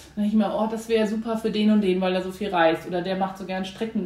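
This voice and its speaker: Noticeable background noise and audible room echo both come through. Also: woman. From Germany, Hamburg. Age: 30s. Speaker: PR agency founder. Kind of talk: interview.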